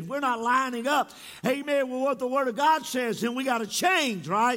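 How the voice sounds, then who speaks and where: Raised and projected, a man's extremely high, bright, sharp voice moves at a fairly quick pace in an animated tone with ordinary pitch variation. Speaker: pastor. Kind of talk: sermon. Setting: church. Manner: animated, frequent interjections.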